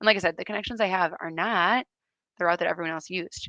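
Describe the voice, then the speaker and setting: With an American accent, a woman talks at a very fast pace in a fairly low voice, bright and sharp in tone with vocal fry and fairly even intonation, the sound dry and close with no echo against a quiet background. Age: 30s. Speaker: event rider and riding instructor. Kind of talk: live-stream interview. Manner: casual, chatty.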